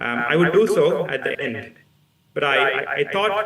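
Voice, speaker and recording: A man with a Keralan accent speaks at a moderate pace with lively intonation, over noticeable background noise and audible room echo. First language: Malayalam. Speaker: physics professor. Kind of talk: public lecture. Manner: halting, many fillers.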